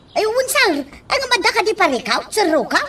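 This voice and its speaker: This is a put-on character voice with extremely high pitch. It moves at a moderate pace. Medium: audio drama.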